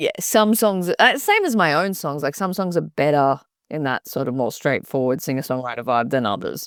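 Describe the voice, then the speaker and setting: A woman with an Australian accent speaks in a very deep, low pitch that swings very widely. The recording is very clean, with a silent background. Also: moderate pace. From Australia, Byron Bay. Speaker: singer-songwriter. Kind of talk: interview.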